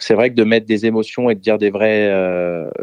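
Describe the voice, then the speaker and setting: The man's intonation stays fairly even as he talks at a moderate speed. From France. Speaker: DJ and music producer. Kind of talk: interview.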